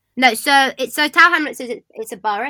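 On a very clean recording with a silent background, a woman with a London accent speaks in a bright, sharp tone with ordinary pitch variation. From London, England. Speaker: podcast guest. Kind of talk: casual chat.

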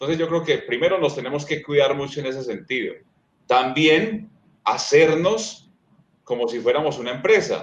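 A man speaks with an Antioquian accent at a moderate pace. His pitch is fairly high, with ordinary pitch variation. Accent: Colombian paisa (Antioquia) Spanish. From Colombia, eastern Antioquia (Sonsón). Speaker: sports commentator and communications lecturer. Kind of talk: interview conversation. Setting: remote video stream.

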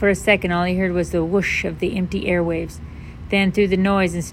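Someone does plain reading aloud. Their intonation is fairly even.

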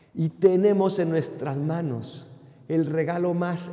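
With audible room echo and noticeable background noise, a man speaks at a high pitch. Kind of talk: sermon.

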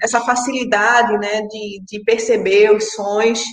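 This woman talks at a very slow pace. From Pernambuco, Brazil. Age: 30s. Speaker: sound artist and sound editor. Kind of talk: interview.

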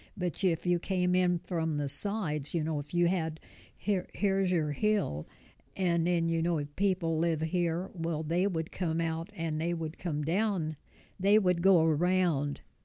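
A woman with an American accent speaks fairly slowly in a warm, relaxed, dark and mellow tone, with a fairly low pitch and fairly even intonation. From Kansas, US. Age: 90s. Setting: home kitchen, recorded in person. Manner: warm, chuckling, relaxed.

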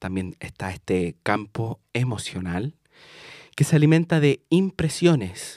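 Very slowly and with very wide pitch swings, a man with a Chilean accent speaks in a dry, close sound with no echo on a very clean recording with a silent background. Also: medium pitch for a man. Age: 20s. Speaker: podcast host and tarot reader. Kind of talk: casual monologue.

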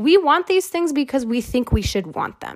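A woman speaks at a moderate pace in an animated tone. Her pitch swings very widely. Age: 20s. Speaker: podcast host. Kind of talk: casual solo monologue.

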